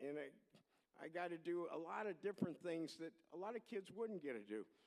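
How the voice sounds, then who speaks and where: A man talks at a moderate pace with an American accent. His pitch is high. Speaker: award recipient, former soapbox derby official. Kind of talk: acceptance speech. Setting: stage at podium before audience. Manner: folksy, halting with repetitions.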